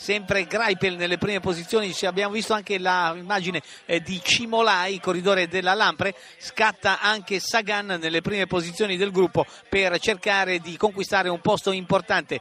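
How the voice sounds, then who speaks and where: Animated in tone, a man speaks in a raised, projected voice at a high pitch. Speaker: radio sports commentator. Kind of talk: live race commentary, radio call of a cycling sprint finish. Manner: animated, urgent, accelerating into the sprint with repeated name shouts; fast, rapid-fire, with distances and positions called out breathlessly.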